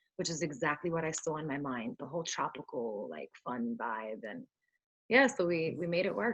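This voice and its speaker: This woman has a very deep, low pitch. Her voice makes very wide pitch swings. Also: moderate pace. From US Northeast, Brooklyn, New York. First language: Spanish. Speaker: singer-songwriter. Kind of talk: interview.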